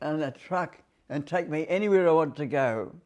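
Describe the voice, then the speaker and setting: Here a man speaks with an Australian accent. His pitch is fairly high. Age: 80s+. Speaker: war veteran. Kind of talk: interview answer.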